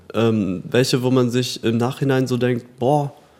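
The pace is fairly slow. A man speaks at a medium pitch. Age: 30s. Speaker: medical engineering student. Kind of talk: casual chat. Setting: studio. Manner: halting with repetitions.

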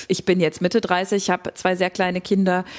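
At a moderate pace, a woman speaks in an ordinary speaking voice of medium pitch. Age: 30s. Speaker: psychotherapist, co-host. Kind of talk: casual conversation.

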